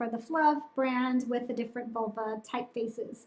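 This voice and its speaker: A woman projects a raised voice at a high pitch, bright and sharp in tone. Her intonation stays fairly even at a moderate pace. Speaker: menstrual cup reviewer, channel host. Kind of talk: product review. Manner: casual with many fillers.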